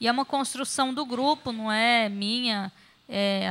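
A woman speaks with a bright, sharp tone. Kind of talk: formal meeting chairing. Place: meeting room. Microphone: podium.

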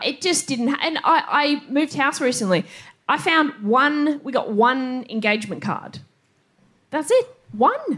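A woman with an Australian accent speaks at a high pitch and a fairly slow pace, her intonation lively against a quiet background. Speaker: stand-up comedian. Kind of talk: stand-up. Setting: stage with audience. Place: stage.

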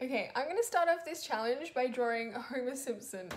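There is light background noise behind this woman. Her high-pitched voice has lively intonation. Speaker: drawing vlogger. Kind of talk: casual vlog chat. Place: home room.

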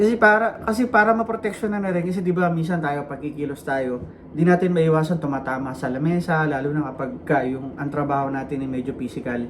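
A man with a fairly high pitch at a very fast pace, hardly any pauses, lively intonation and light background noise. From Philippines. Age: 40s. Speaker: vlogger. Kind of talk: vlog monologue. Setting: walking outdoors. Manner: casual, rambling with fillers. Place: home room. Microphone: phone near.

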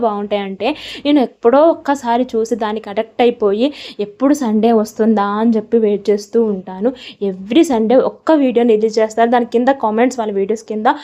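This woman has a fairly high pitch and a dark, mellow tone. Her intonation stays fairly even. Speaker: lifestyle vlogger. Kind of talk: vlog voice-over narration.

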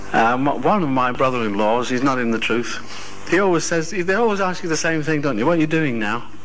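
Over light background noise, a man with a fairly high pitch talks with lively intonation, very even loudness, and hardly any pauses. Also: fairly quick pace. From United Kingdom. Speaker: religious speaker; speaker. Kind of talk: sermon. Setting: hall with live audience. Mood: conversational anecdote. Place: hall. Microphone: old recording.

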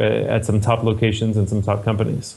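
A man is speaking. His pace is moderate. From California, US. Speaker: MBA admissions director. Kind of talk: interview.

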